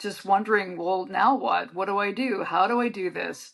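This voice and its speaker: Ordinary pitch variation and a moderate pace mark a woman's speech in a plain, everyday voice. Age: 60s. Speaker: author. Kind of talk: interview.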